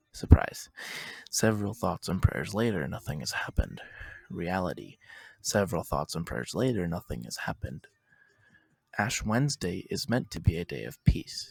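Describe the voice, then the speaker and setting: A man with a very deep, low pitch and vocal fry speaks at a moderate pace, taking long, frequent pauses. His pitch swings very widely and his loudness shifts a lot, all in a dry, close sound with no echo. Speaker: poet. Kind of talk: slam poetry performance.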